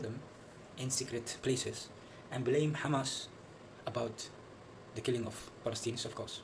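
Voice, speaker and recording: The speech moves at a moderate pace. There is audible room echo and noticeable background noise. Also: man. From Netherlands. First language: Dutch. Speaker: video commentator. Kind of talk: video commentary. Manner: halting, many fillers and repetitions.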